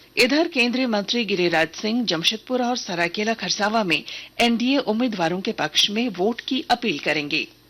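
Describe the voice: A woman speaks at a moderate pace with few pauses, at a medium pitch. Her tone is fairly bright and her intonation lively.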